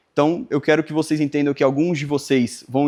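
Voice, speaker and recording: Against a quiet background, a man talks at a fairly quick pace in a fairly high pitch. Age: 20s. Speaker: video editor and workshop instructor. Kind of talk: workshop lecture. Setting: live workshop with audience. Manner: halting, with frequent fillers.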